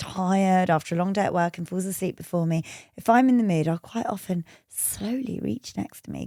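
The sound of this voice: Pitch varying ordinarily through an unforced reading voice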